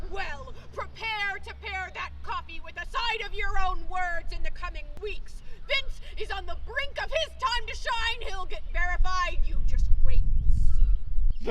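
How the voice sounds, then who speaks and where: A woman's put-on character voice, extremely high-pitched and sing-song, at a fairly slow pace over clear background noise. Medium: stage play. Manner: sing-song rhyming.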